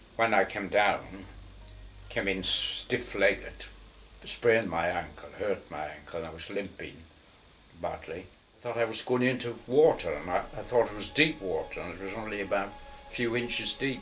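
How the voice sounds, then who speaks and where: Through noticeable background noise, a man with a Northern English accent talks at a moderate pace and medium pitch, with ordinary pitch variation and long, frequent pauses. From Northern England. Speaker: war veteran. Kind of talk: interview answer.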